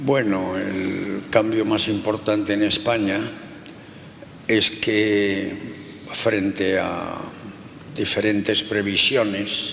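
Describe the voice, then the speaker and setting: A man speaks at a fairly low pitch, very slowly, in a flat monotone with long, frequent pauses. Noticeable background noise and audible room echo fill the recording. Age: 80s+. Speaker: sociologist. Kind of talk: interview.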